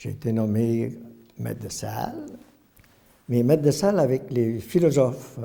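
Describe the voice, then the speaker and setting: A man is speaking. His pace is very slow. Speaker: retired priest. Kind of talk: testimony. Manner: halting, many hesitations.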